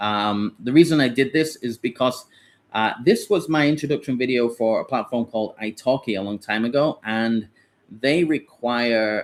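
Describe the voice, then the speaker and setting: A man of medium pitch talks with a British accent and ordinary pitch variation. The recording is very clean, with a silent background. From Britain. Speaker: online English teacher and platform founder. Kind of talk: live Q&A tutorial. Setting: livestream with screen share. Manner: hesitant, many fillers and restarts.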